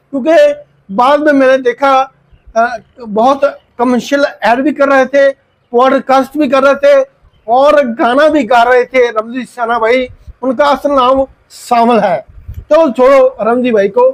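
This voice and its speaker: The voice holds very even loudness and a fairly even intonation. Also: man, extremely high pitch for a man. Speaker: YouTuber vlogger. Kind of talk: storytelling monologue.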